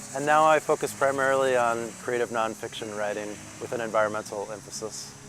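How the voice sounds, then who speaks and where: A man with an American accent talks at a fairly quick pace in a medium pitch, with ordinary pitch variation and noticeable background noise. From Minnesota, US Midwest. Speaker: professor and writer. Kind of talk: interview monologue. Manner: frequent fillers and self-corrections.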